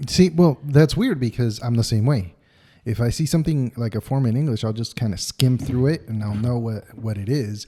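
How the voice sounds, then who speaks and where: A man speaks at a medium pitch and moderate pace, his dark, mellow tone somewhat breathy, with ordinary pitch variation on a very clean recording with a silent background. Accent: American. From United States. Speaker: podcast co-host. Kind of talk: casual chat.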